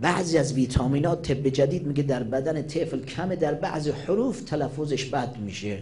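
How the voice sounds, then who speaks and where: A man's fairly high, plain, everyday voice, with ordinary pitch variation, a moderate pace, hardly any pauses and light background noise. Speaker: Shia cleric. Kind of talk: religious sermon. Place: hall.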